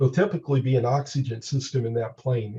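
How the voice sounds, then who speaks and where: Somewhat breathy male speech, medium in pitch, with a dark, mellow tone. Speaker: mountain rescuer and aircraft rescue trainer. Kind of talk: training webinar presentation. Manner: many filler uhs.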